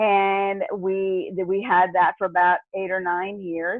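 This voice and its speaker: Speaking at a fairly slow pace, a woman uses a medium pitch and monotone, flat intonation. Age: 60s. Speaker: network marketer. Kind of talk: interview. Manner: hesitant, many fillers.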